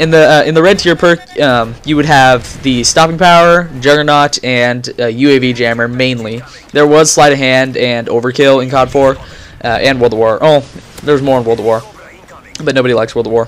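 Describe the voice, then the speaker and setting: Over noticeable background noise, a man talks at a fairly quick pace. His medium-pitched voice shows ordinary pitch variation. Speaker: gaming commentator. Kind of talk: gameplay commentary. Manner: stuttering, halting; casual, filler-heavy.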